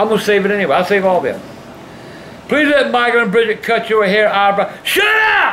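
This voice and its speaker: Over light background noise, a man speaks in a raised, projected voice. His pitch swings very widely. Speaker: vlog host reading fan mail. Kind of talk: casual vlog chat, reading letters aloud. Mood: gruff, sometimes shouting. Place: home room. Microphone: camera far.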